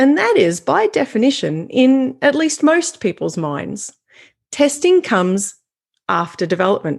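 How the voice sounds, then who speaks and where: A woman with an Australian accent speaks with very wide pitch swings. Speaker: software quality consultant. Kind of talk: conference keynote. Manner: clear, deliberate.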